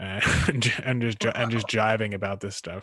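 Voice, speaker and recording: A man with a Philadelphia accent and fairly low pitch, at a moderate pace, in a dry, close sound with no echo. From Philadelphia area, US. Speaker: podcast host, karate practitioner. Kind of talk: casual chat.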